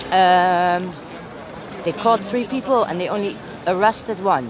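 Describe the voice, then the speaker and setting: A woman with a Dutch accent speaks at a fairly slow pace. The sound is dry with no echo, and crowd noise carries in the background. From Netherlands. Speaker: citizen journalist livestreamer. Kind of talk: live street commentary. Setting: outdoors at street protest. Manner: casual, talking while walking. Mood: indignant, critical of police. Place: street. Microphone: phone near.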